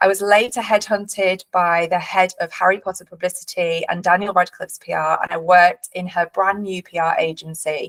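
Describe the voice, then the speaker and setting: With a Yorkshire accent, a woman at medium pitch speaks at a fairly quick pace with hardly any pauses and fairly even intonation, the sound dry and close with no echo. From northern England, Leeds. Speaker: company director and webinar host. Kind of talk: webinar presentation. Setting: online webinar.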